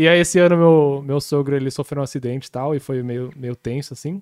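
Fairly high-pitched and fairly quick, a man speaks with ordinary pitch variation in a dry, close sound with no echo. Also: hardly any pauses. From Brazil (moved there at age six). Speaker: animator and podcast co-host. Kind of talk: casual chat.

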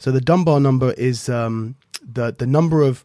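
A man's dark, mellow tone with an English accent and fairly even intonation. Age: 20s. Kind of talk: casual chat.

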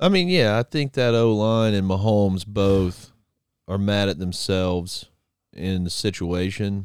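In a very clean recording with a silent background, a man with an American accent speaks in a normal speaking voice, fairly low in pitch and fairly even in intonation. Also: fairly slow pace. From Florida Panhandle, near Pensacola. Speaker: sports podcast co-host. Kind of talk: casual chat.

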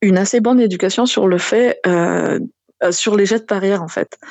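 An unremarkable speaking voice from a woman, medium in pitch with ordinary pitch variation, at a fairly slow pace. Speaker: soap maker. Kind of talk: casual chat.

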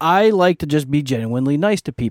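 A man with fairly high pitch and lively intonation talks at a moderate pace. It's an ordinary speaking voice, in a dry, close sound with no echo. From Canada. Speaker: podcast host. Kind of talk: casual chat.

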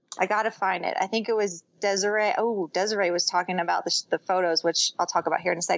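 A woman speaks in a normal speaking voice. Her pace is fairly quick and her intonation lively. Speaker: co-host of a Star Trek podcast. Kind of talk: casual chat.

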